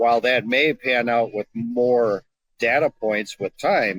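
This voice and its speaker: Heard dry and close with no echo, a man with a plain, everyday voice speaks at medium pitch and a fairly slow pace. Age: 60s. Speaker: surgeon. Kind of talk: casual chat.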